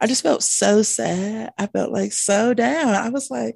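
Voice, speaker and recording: A woman is speaking against a quiet background. The sound is dry and close, with no echo. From Colorado, US. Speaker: school psychologist. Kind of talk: casual chat.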